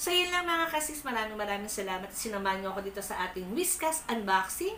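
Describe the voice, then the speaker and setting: Loud and very fast, a woman speaks at a fairly high pitch with very wide pitch swings. Noticeable background noise and audible room echo fill the recording. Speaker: unboxing vlogger. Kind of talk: casual unboxing vlog.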